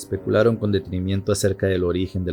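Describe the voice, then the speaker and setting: A man's very deep, low voice with music in the background. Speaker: narrator. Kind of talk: horror story narration.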